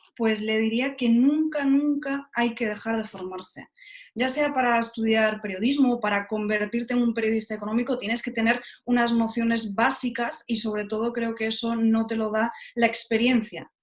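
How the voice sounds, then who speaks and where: A woman uses a normal speaking voice at a fairly high pitch, keeping her intonation fairly even. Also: moderate pace. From Spain, Galicia (Lugo). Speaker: journalist, TV presenter. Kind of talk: interview.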